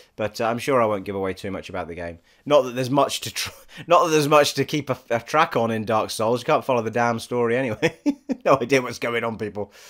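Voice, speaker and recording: A very fast man with an English accent, medium pitch and ordinary pitch variation, on a very clean recording with a silent background. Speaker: gaming vlogger. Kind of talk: casual vlog chat. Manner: halting, many restarts.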